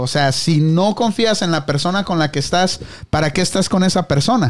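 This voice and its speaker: With lively intonation and a high pitch, a man talks on a very clean recording with a silent background. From Mexico. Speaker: podcast host. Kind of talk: casual chat. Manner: casual, slangy.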